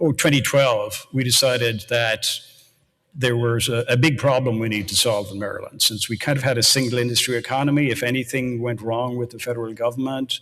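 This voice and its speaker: A man with an Irish accent, medium pitch, fairly even intonation and a fairly quick pace. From Ireland, near Baltimore, County Cork. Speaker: university research executive. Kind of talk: panel discussion. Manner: halting, repeats words.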